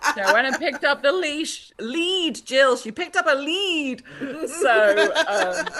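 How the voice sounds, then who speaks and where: A raised, projected voice swings very widely in pitch at a very slow pace. Noticeable background noise sits behind it. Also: woman, high pitch for a woman. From Britain. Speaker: author. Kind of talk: interview. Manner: halting.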